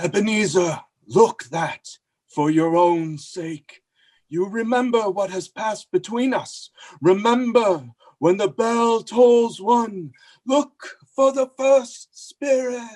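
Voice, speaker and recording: A man puts on a character voice pitched high. He talks fairly slowly against a quiet background. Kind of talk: stage radio play acting. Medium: stage play. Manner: solemn, grave.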